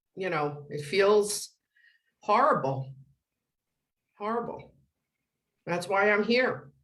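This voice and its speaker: A woman's medium-pitched voice, very slow with long, frequent pauses and very wide pitch swings, in audible room echo. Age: 60s. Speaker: school office manager. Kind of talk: press conference answers. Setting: press conference.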